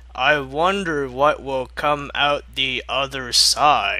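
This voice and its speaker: A man puts on a raspy character voice with a fairly high pitch. He speaks at a very slow pace, with light background noise behind him. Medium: read story. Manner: falsely sweet.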